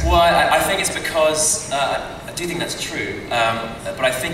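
The speech moves at a moderate pace. Noticeable background noise and audible room echo are present. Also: man. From Britain. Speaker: actor. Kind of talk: convention panel answer. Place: hall.

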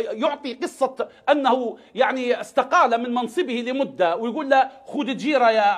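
Speaking with hardly any pauses, a man uses an extremely high pitch with ordinary pitch variation. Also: fairly slow pace, quiet background. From Libya. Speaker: political analyst. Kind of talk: televised political debate. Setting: remote satellite link to studio. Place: studio.

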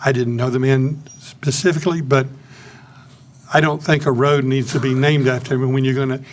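With audible room echo, a man of fairly high pitch talks at a fairly quick pace with fairly even intonation. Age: 80s+. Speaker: public commenter. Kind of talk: public comment. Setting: city council meeting.

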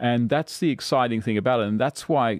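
A man with an Australian accent speaks with ordinary pitch variation in a dry sound with no echo and a quiet background. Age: 40s. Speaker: political commentator. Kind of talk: casual chat. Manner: halting. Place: studio. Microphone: studio mic.

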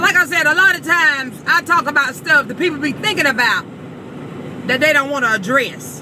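A woman's raised, projected voice at a fairly quick pace, dry with no echo, over noticeable background noise. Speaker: vlogger. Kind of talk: casual vlog rant. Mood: comic indignation. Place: car. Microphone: phone near.

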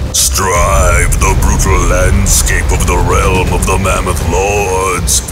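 Over music in the background, a man talks at a very slow pace with very even loudness and hardly any pauses. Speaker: voice actor. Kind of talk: game trailer narration. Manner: rousing, epic.

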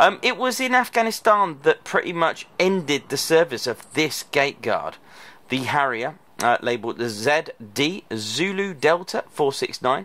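Here a man talks at a fairly slow pace in a bright, sharp tone. His pitch swings very widely. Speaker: aviation vlogger. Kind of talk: casual vlog commentary. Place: open country. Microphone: phone near.

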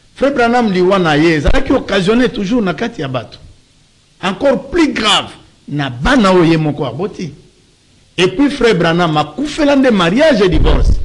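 With very wide pitch swings, a man speaks high for a man at a moderate pace, leaving long, frequent pauses. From DR Congo. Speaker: pastor; talk show guest, lawyer. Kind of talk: talk show interview. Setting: studio. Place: studio. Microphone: studio mic.

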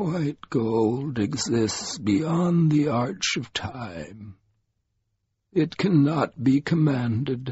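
In a put-on character voice, a man speaks very slowly at a medium pitch with lively intonation. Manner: ancient, grave.

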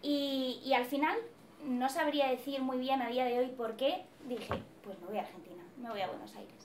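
A woman speaks at a high pitch and a moderate pace, with ordinary pitch variation and big swings in loudness. Noticeable background noise is present. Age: 20s. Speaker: psychology student; presenter. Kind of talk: personal testimony. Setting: event hall with audience. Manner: hesitant, many fillers. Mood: reflective, earnest. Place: classroom. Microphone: camera far.

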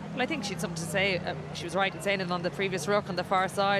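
A woman with an Irish accent at medium pitch, fairly even intonation and a very fast pace, with noticeable background noise. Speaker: former rugby captain, pundit. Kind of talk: live co-commentary.

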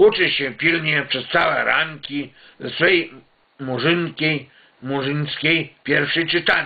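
Intonation fairly even, a man speaks at a very slow pace. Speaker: home video storyteller. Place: home room. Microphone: webcam.

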